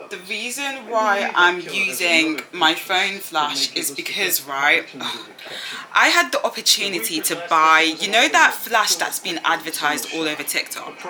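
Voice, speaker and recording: At a fairly slow pace, a woman with a British accent and a medium pitch talks with lively intonation over noticeable background noise. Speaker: student vlogger. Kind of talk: casual vlog chat.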